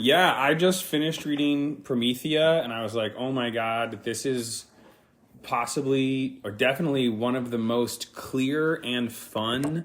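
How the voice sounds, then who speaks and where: The man's pace is fairly slow. His pitch is medium, with ordinary pitch variation. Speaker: podcast co-guest discussing magick. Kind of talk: casual chat. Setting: home living room recording. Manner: loud. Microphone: too close to the mic.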